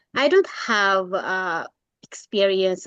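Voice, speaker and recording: A woman speaks with a Filipino accent. Her delivery comes at a very slow pace. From Philippines. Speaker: graduate student and caseworker. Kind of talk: class introduction. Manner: halting.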